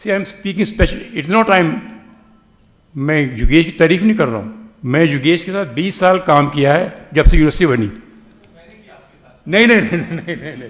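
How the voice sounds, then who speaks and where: With audible room echo, a fairly high-pitched man talks at a moderate pace with lively intonation, big swings in loudness and long, frequent pauses. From northern India, family came after partition. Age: 80s+. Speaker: retired professor of computer science. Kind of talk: speech at a reunion event. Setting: hall with audience. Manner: halting, repeats words.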